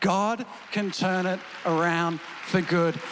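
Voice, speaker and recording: Crowd noise fills the background as a man talks in a high pitch. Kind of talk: prayer and memorial tribute. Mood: grieving yet declarative, fervent. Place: church. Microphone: handheld.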